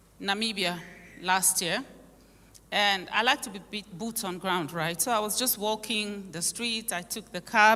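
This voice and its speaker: A woman's fairly slow speech in a Nigerian accent, medium in pitch with ordinary pitch variation, against noticeable background noise. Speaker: conference speaker. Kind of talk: conference speech.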